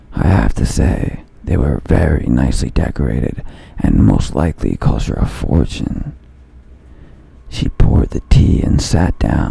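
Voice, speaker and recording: In a put-on character voice, a man speaks raspy and very deep, at a moderate pace with lively intonation. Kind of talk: horror narration. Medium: read story.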